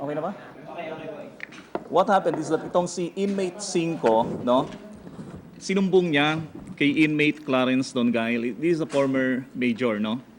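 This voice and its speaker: Amid noticeable background noise, a man with a fairly high pitch speaks at a moderate pace with lively intonation and long, frequent pauses. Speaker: prison bureau spokesperson. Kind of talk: press conference briefing. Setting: press conference. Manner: loud; hesitant, many fillers.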